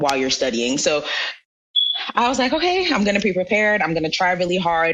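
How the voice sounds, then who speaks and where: A woman speaks at a fairly low pitch. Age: 20s. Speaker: software engineer and blogger. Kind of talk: interview. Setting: podcast interview.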